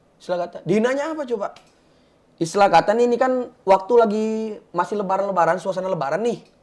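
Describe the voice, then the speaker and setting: His pitch shows ordinary variation. It is a man speaking. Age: 20s. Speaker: guest from a religious background. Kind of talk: talk show discussion.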